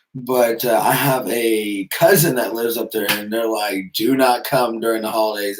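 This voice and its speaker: Medium-pitched speech from a man at a moderate pace, with fairly even intonation. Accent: American. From Texas. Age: 30s. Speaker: YouTuber and mechanic. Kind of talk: live stream Q&A chat. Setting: live stream. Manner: casual, hesitant with fillers.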